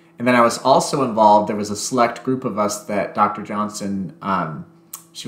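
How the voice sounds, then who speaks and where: A man with an American accent, fairly low pitch, fairly even intonation and a moderate pace, plus audible room echo. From Texas. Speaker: pianist and piano teacher. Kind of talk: casual interview. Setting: remote call. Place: home room.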